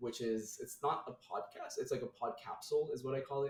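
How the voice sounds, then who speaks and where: At a fairly quick pace, a man speaks with an American accent. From Nepal (Kathmandu). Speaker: podcast guest, tech worker. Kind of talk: casual interview chat. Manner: casual, many fillers.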